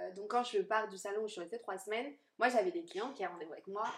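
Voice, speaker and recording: A woman at a fairly high pitch, talking at a very fast pace. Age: 20s. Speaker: hair colourist. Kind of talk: casual interview. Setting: sofa in a small cosy room.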